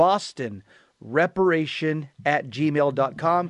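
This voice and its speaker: A man's fairly high voice with ordinary pitch variation, in dry, close sound with no echo and a quiet background. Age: 60s. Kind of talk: religious talk show. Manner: animated.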